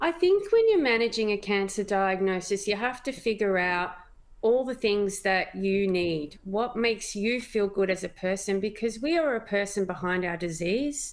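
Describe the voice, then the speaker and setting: A woman talks with an Australian accent at a medium pitch. Her pace is moderate, with ordinary pitch variation. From Australia, Melbourne. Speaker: cancer patient, mother. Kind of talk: interview testimony.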